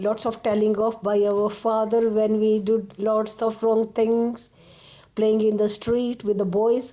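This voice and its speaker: Fairly high in pitch yet dark and mellow in tone, a woman's voice moves at a fairly slow pace with monotone, flat intonation and very even loudness. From Kenya, Indian family in Nairobi. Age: 60s. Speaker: interviewee sharing migration story. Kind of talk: oral history interview. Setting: at home.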